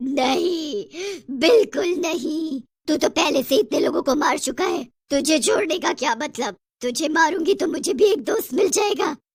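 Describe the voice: A woman uses a cartoonish character voice, high-pitched with vocal fry, speaking slowly with lively intonation.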